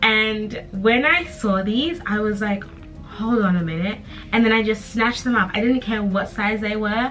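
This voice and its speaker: A woman's fairly high voice in an upbeat tone at a moderate pace, with music in the background. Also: ordinary pitch variation. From Zimbabwe. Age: 20s. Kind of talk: casual talk to camera. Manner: chatty, upbeat.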